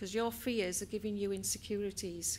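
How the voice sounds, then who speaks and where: Her intonation fairly even, a woman speaks at a medium pitch with a Welsh accent. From Wales. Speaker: business trainer and HR professional. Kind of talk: inspirational talk.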